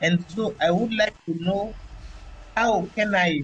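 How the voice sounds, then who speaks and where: A woman speaks at a very slow pace, somewhat breathy. Her pitch variation is ordinary. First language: not English. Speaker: webinar participant asking a question. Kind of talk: audience question.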